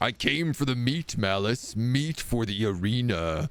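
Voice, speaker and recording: A man puts on a rumbling character voice at a medium pitch, speaking at a fairly slow pace. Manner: furious, menacing.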